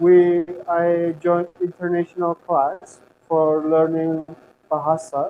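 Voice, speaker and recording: Talking at a very slow pace, a man uses a high pitch. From Turkmenistan. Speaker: university student. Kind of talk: interview. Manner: halting.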